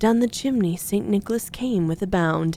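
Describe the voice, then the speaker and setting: A woman speaks softly in a dark, mellow tone. Her intonation is lively. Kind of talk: sleep story. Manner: soft-spoken.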